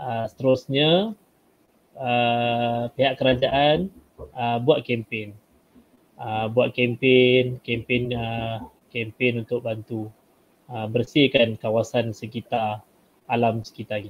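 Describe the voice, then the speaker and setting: Very slowly, a man speaks at a medium pitch with fairly even intonation, though his loudness swings a lot. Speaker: Malay language teacher. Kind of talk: tutorial, exam technique talk. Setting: video call webinar, screen share.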